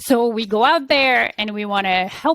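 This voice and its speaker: A woman speaks at a fairly slow pace. Her voice sits at a medium pitch with ordinary pitch variation. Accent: Polish. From Poland. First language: Polish. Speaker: business coach. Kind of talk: interview. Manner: halting.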